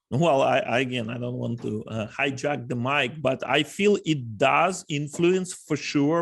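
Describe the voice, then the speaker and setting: Against a quiet background, a man with a Russian accent talks at a medium pitch. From Ukraine. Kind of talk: panel discussion.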